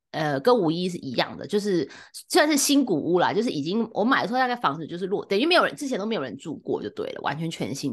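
A woman with a Taiwanese accent, very fast pace and very wide pitch swings, against a quiet background. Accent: Taiwanese Mandarin. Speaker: podcast co-host. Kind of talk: casual chat. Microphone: new microphone, first episode using it.

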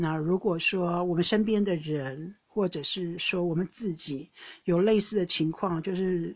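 A woman at medium pitch, speaking at a very slow pace. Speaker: podcast host. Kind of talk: casual monologue. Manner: hesitant with many fillers.

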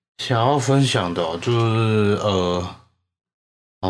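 There is audible room echo. A man speaks in a fairly low voice. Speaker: podcast co-host. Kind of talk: casual chat.

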